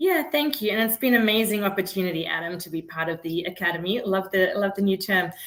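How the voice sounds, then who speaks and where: A woman's medium-pitched voice with a non-native accent, very fast and with hardly any pauses, ordinary in pitch variation. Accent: noticeable foreign. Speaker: startup founder and CEO. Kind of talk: interview. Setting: live video interview.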